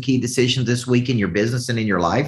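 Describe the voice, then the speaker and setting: A man with a Southern US accent, somewhat breathy, medium-pitched, animated in tone and lively in intonation. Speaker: business coach. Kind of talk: motivational coaching talk. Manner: animated, motivational.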